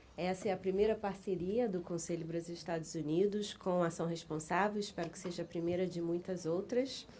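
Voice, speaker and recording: The voice moves at a fairly quick pace with fairly even intonation and a dark, mellow tone, with audible room echo. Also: woman, fairly low pitch for a woman. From Brazil. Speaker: business council director, lawyer. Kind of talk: conference presentation. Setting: conference with audience. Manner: halting.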